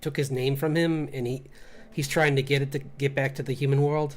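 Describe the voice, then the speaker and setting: A somewhat breathy man with a fairly high pitch, a fairly quick pace and monotone, flat intonation. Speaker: illustrator and comic artist streaming. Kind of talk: casual livestream chat while drawing. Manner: fast; halting, many fillers and restarts.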